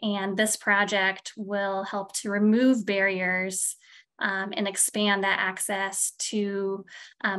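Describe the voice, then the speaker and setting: A woman with a Midwestern accent speaks at a medium pitch and a fairly slow pace, in a bright, sharp tone. Her intonation is monotone and flat, against a quiet background. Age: middle-aged. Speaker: physical therapist and project director. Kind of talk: interview.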